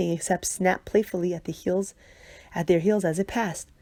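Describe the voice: The speaker does plain reading aloud.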